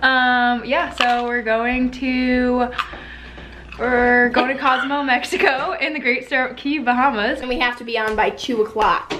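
The speech moves at a fairly slow pace with fairly even intonation. Noticeable background noise runs underneath. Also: woman, high pitch for a woman. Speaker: vlogger. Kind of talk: casual vlog chat. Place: home room. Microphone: phone near.

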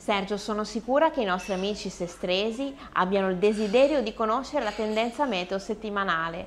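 Her voice is medium in pitch with ordinary variation. The woman speaks at a fairly quick pace with hardly any pauses. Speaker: co-host and singer. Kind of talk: presenting. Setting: bar.

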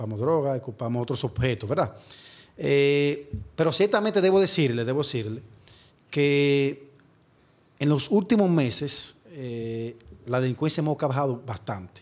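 A man with a fairly high voice speaks at a moderate pace, leaving long, frequent pauses. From Dominican Republic, San Francisco de Macorís; Dominican Republic. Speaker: prosecutor; guest. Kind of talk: interview. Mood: calm, explanatory. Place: studio. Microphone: studio mic.

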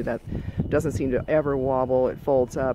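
Over noticeable background noise, a man talks with fairly even intonation in a dry sound with no echo. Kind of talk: casual vlog tour commentary. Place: open country. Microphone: phone near.

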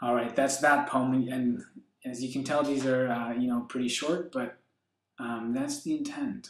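A man speaks at a fairly slow pace with a medium pitch and fairly even intonation. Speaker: poet and video blogger. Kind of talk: reading original love poems aloud, intimate, sincere, then casual commentary. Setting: home video recording, solo to camera. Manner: slow, earnest, tender poetry delivery with pauses; hesitant, filler-heavy (uh, um), casual.

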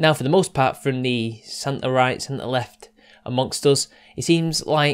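At a fairly slow pace, the intonation remains fairly even. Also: man. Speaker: online commentator. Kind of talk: casual commentary monologue. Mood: serious, measured. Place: home room.

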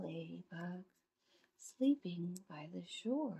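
A woman speaks in a gentle, warm tone that is also dark and mellow. Her voice is somewhat breathy. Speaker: grandmother reading picture books. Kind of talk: children's picture book read-aloud. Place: home room. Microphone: phone near.

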